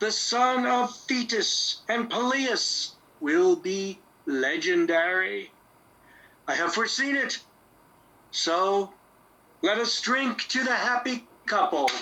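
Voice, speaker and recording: Using a put-on character voice, the speaker moves very slowly, pausing long and often. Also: man, extremely high pitch for a man. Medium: audio drama. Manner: declamatory, ceremonious.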